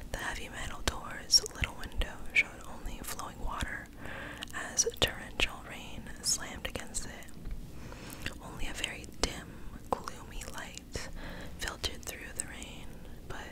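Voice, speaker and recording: Someone whispers at a fairly slow pace with long, frequent pauses, over noticeable background noise. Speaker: ASMR creator. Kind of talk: horror story reading. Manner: whispered.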